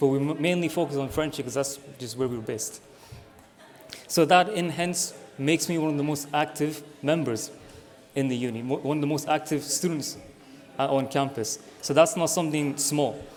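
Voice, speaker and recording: A man with a Scottish accent talks at a moderate pace with fairly even intonation and long, frequent pauses, and audible room echo can be heard. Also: fairly high pitch for a man. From Scotland. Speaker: student election candidate. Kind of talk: campaign speech.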